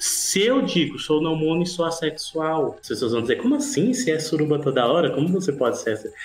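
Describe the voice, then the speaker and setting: Through noticeable background noise, a man talks at a fairly quick pace with very wide pitch swings. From Ceará, Brazil. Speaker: musician and activist. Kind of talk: casual chat.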